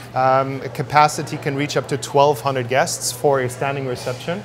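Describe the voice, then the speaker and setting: With music in the background, a man speaks at a fairly quick pace in a monotone, flat intonation. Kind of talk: interview answer. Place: cafe.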